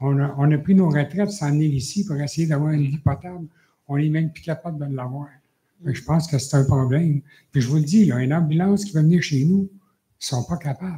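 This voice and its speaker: Fairly high for a man yet dark and mellow in tone, his somewhat breathy voice moves at a fairly quick pace with ordinary pitch variation. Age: 70s. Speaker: citizen at council question period. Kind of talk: public question at council meeting. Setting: municipal council meeting. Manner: halting.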